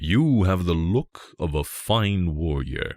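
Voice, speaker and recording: Using a put-on character voice, a man speaks very slowly at a very deep, low pitch. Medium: read story.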